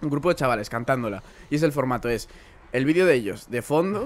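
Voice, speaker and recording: Pitch variation in the man's speech is ordinary. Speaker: podcast host. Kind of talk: casual chat. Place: home room. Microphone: studio mic.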